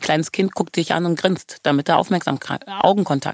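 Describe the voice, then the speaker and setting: Her fairly low voice moves at a fairly quick pace in an animated tone, with ordinary pitch variation. The woman's recording sounds dry and close, with no echo. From Germany. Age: 30s. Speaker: choreographer. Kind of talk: interview.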